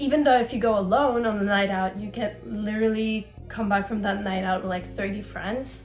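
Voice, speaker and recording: With music in the background, a woman of medium pitch speaks at a moderate pace with fairly even intonation and hardly any pauses. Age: 20s. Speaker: university student. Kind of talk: Q&A vlog.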